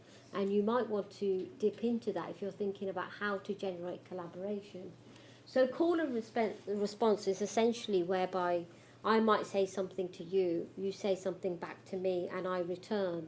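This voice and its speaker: A woman speaks with a Coventry accent at a moderate pace. Her pitch is medium and her intonation fairly even. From Coventry, England. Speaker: academic researcher. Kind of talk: lecture. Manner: halting.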